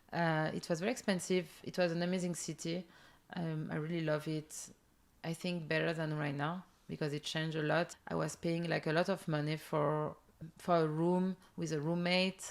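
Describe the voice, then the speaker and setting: In a French accent, a woman talks at a moderate pace with a fairly low pitch and monotone, flat intonation on a very clean recording with a silent background. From southern France. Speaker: entrepreneur. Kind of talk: interview. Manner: halting.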